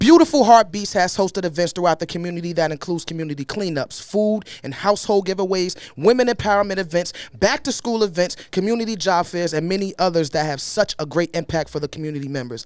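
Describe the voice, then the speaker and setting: With a Brooklyn accent, a man speaks at a fairly quick pace in an animated tone, his high pitch carried by lively intonation. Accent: Brooklyn New York. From New York, Brooklyn. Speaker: podcast co-host. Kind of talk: casual chat.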